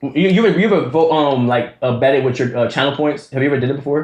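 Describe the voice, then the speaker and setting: A man's animated tone at a very fast pace. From DMV area (DC/Maryland/Virginia). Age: 20s. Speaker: streamer. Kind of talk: live stream reaction chat.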